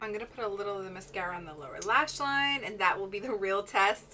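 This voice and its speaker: Over noticeable background noise, the voice has lively intonation and an animated tone. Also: woman. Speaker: beauty youtuber. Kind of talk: makeup tutorial review.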